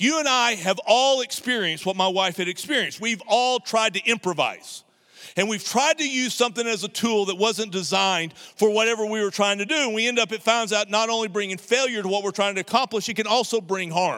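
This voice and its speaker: A man's high, raised, projected voice, bright and sharp in tone, at a fairly quick pace with hardly any pauses. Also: ordinary pitch variation. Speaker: pastor. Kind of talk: sermon. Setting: church service, streamed online. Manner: blunt, not nice tone.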